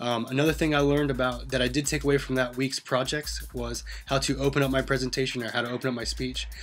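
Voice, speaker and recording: With hardly any pauses, a man talks at a very fast pace over noticeable background noise. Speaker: student and teacher. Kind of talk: self-reflective class presentation. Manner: monotone; hesitant with many fillers.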